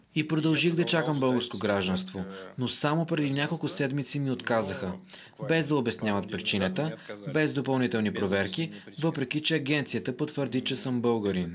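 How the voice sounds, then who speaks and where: A man at a moderate pace with lively intonation over noticeable background noise. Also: medium pitch for a man. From Russia. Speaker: ski instructor. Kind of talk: interview soundbite. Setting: on location. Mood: calm, slightly frustrated. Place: home room. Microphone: handheld.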